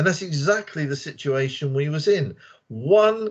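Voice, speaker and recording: Somewhat breathy and fairly high-pitched, a man with a British accent speaks at a fairly slow pace. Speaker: English teacher. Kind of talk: casual group discussion. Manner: animated.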